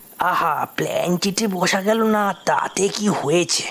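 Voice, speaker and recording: Delivered at a fairly slow pace, this put-on character voice is raspy and middle-pitched, with light background noise. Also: female-sounding voice. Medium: cartoon.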